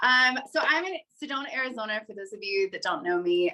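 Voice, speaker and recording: Speaking with an American accent, the woman has a bright, sharp tone. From West Virginia. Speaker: mountain bike coach. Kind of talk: online panel talk / webinar.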